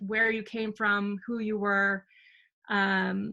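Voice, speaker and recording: Bright and sharp in tone, a woman with an American accent talks at a medium pitch. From California Central Coast. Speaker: documentary producer. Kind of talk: community meeting presentation. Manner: hesitant, many fillers.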